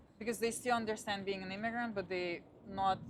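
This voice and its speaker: Talking at a fairly quick pace, a woman with a Russian accent keeps a medium pitch and fairly even intonation. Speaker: Pilates instructor. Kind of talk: casual chat.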